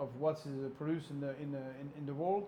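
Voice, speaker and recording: A man talks at a fairly quick pace with a dark, mellow tone. The room echo is audible. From France. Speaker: interviewer. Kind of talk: interview.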